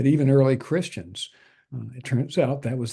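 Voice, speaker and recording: Somewhat breathy, a man speaks at a moderate pace in a medium-pitched, dark and mellow tone with ordinary pitch variation. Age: 70s. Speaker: natural health doctor and healer. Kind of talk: interview. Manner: hesitant, many fillers.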